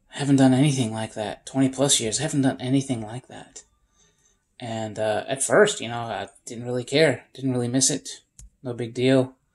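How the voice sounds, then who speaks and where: Over music in the background, a speaker with an American accent talks at a moderate pace with fairly even intonation and big swings in loudness. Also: man, medium pitch for a man. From upstate New York. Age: 40s. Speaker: homesteader. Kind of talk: casual vlog monologue.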